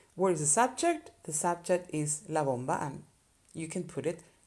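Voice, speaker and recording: Ordinary pitch variation accompanies a moderate pace throughout the speech. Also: woman. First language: Spanish. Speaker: Spanish teacher. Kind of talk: tutorial. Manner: casual, conversational.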